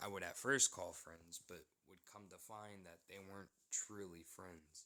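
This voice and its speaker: A man with an American accent speaks fairly slowly at a fairly low pitch, his tone bright and sharp and his intonation fairly even. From United States. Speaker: vlogger telling a personal story. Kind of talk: personal storytelling.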